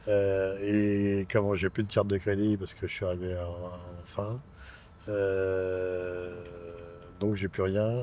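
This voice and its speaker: A man speaks at a very slow pace with long, frequent pauses. His fairly low voice has a dark, mellow tone and monotone, flat intonation. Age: 60s. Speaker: homeless man. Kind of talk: interview testimony. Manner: halting, hesitant.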